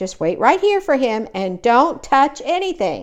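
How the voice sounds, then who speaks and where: Using a put-on character voice, a woman speaks at a high pitch and a moderate pace with very wide pitch swings. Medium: read story.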